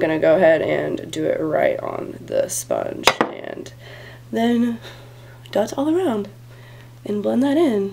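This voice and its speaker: Noticeable background noise surrounds the recording. Through it, a woman talks fairly slowly. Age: 20s. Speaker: beauty vlogger. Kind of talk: tutorial. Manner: casual, filler-heavy.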